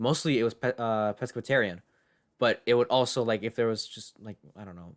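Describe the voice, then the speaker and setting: The pace is fairly quick. The recording is very clean with a silent background, and the sound is dry and close with no echo. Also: man. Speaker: podcast co-host. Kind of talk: casual chat. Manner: animated.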